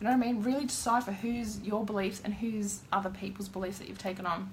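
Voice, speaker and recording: A woman talks at a very fast pace with big swings in loudness and fairly even intonation, over noticeable background noise and audible room echo. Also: medium pitch for a woman. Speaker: tarot card reader. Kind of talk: live-streamed card reading with spiritual advice.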